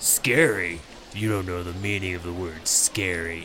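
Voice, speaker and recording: A man's put-on character voice, very deep and low, at a moderate pace against clear background noise. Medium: actual play. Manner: blustering.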